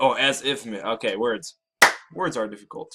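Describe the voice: Plain reading aloud is heard against a quiet background.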